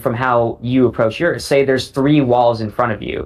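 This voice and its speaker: This voice belongs to a man. He speaks with an American accent. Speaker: parkour athlete. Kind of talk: casual chat. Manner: halting.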